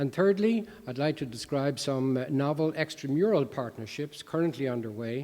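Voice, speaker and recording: An American-accented man speaks in a fairly high voice with a dark, mellow tone and lively intonation, barely pausing at all. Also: moderate pace. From Ireland, Dublin. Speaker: professor of medicine. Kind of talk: lecture. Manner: halting, many fillers.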